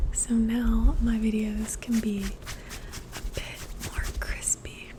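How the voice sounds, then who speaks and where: Whispered at a very slow pace, with noticeable background noise behind it. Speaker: former teacher; ASMR creator. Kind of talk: ASMR whisper and soft-spoken ramble; casual talk to camera. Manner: whispered, soft-spoken.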